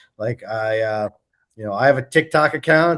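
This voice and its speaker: Male speaker in an American accent, pitch varying in an ordinary way. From Long Island, New York. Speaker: political candidate. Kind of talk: Q&A at a community meeting. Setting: meeting with audience. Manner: halting, many fillers.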